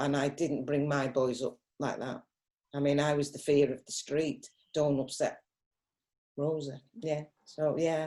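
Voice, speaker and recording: A woman talks in a very deep, low voice with a dark, mellow tone and flat, monotone intonation. Her pace is fairly slow, with long, frequent pauses. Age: 60s. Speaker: mother of the host, mastermind participant. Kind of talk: casual group discussion.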